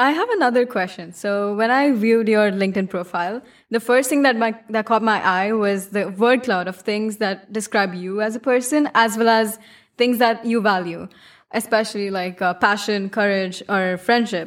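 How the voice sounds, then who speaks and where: A woman's normal speaking voice, fairly high in pitch with ordinary pitch variation, at a moderate pace on a very clean recording with a silent background. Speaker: student podcast host. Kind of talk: casual interview. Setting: studio.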